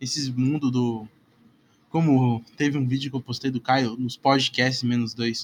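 A man's fairly high-pitched voice comes through with a dry, close sound and no echo. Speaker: solo podcaster. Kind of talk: casual monologue. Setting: home bedroom. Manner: halting.

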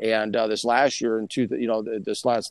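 A man with an American accent talks very fast at a medium pitch, his voice dry and close with no echo against a quiet background. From Minnesota. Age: 40s. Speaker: football scout. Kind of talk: casual chat.

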